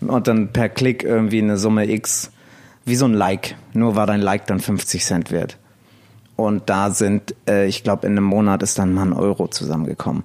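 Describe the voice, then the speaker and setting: In a normal speaking voice, a man talks at a fairly low pitch and moderate pace. His intonation is fairly even and his loudness very even. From northern Germany, near Elmshorn (Schleswig-Holstein). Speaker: DJ and blogger. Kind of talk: casual interview chat.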